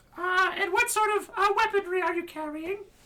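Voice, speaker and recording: This put-on character voice is squeaky and extremely high in pitch. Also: moderate pace. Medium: actual play. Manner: chipper, fussy.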